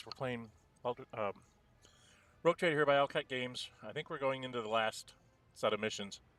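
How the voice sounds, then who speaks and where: A man speaks quietly at a medium pitch, leaving long, frequent pauses. The sound is dry and close, without echo. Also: ordinary pitch variation, moderate pace. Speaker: gameplay commentator. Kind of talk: casual gameplay commentary. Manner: quiet, low-volume.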